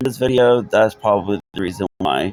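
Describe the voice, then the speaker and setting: Quiet and dry, with a close sound and no echo, a man speaks with ordinary pitch variation over music in the background. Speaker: gaming video creator. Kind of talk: gameplay commentary. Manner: quiet, subdued; halting, with repetitions.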